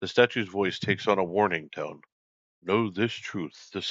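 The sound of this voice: An unforced reading voice keeps its intonation fairly even. Behind it, all is quiet.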